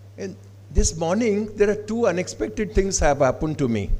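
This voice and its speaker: A man with an Odisha accent speaks at a moderate pace, his fairly high voice dark and mellow in tone, with vocal fry. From Odisha, India. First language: Odia. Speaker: professor. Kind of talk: conference address. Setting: stage with audience. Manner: formal.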